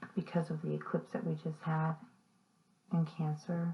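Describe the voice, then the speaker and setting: Over noticeable background noise, a soft-spoken woman talks in a very deep, low pitch. Her moderate pace comes with monotone, flat intonation. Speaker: tarot reader. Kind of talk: tarot reading. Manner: halting.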